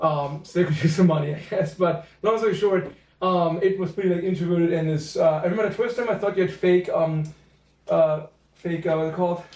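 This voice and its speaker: A man with a German accent and a high pitch speaks at a fairly quick pace with fairly even intonation. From Germany, near Cologne. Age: 30s. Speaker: podcast guest. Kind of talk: casual chat. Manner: halting, many fillers.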